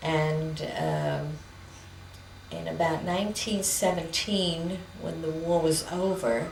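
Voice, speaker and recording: A woman's fairly low voice in a New York accent at a very slow pace, with audible room echo and noticeable background noise. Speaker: interviewee telling family history. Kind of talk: oral history interview. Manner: hesitant, with many fillers.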